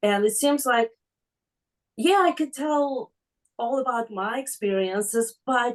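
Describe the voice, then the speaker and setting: A woman's high-pitched voice, fairly slow in pace, with lively intonation. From former Soviet Union. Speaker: class participant. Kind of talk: asking a question in class. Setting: online class on video call. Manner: halting, many fillers.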